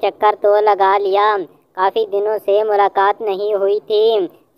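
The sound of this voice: A cartoonish character voice, female-sounding, at a medium pitch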